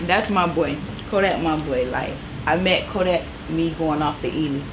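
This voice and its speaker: A woman with an American accent speaks at a moderate pace, her pitch fairly low and its variation ordinary. Noticeable background noise and audible room echo are present. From US South, Fort Lauderdale, Florida. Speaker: stylist. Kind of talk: casual interview.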